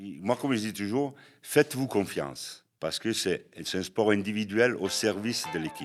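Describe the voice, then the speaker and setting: Music plays behind a man speaking at a moderate pace. His pitch is fairly low. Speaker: American football head coach. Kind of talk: podcast interview answer.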